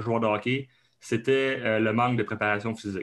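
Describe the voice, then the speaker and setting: A man with an Abitibi accent talks with fairly even intonation. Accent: Québécois, Abitibi. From Quebec, Abitibi. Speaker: kinesiologist and strength coach. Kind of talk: podcast interview. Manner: hesitant, many fillers.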